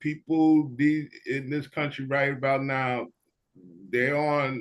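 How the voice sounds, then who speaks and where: A man with a New York accent speaks at a very slow pace. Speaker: panelist. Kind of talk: panel discussion.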